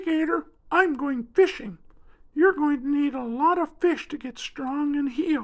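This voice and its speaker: A high-pitched, put-on character voice at a fairly slow pace. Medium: read story.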